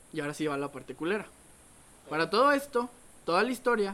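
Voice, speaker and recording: A man speaks in a raised, projected voice with a bright, sharp tone, lively intonation and a fairly quick pace. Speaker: podcast co-host. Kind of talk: casual chat.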